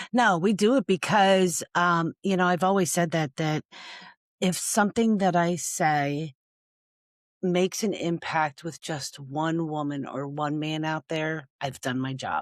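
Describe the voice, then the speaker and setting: The sound is dry and close with no echo as a woman with a normal speaking voice talks at a fairly slow pace, her pitch fairly low with ordinary variation. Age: 60s. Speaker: domestic violence survivor and nonprofit founder. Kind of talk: podcast interview.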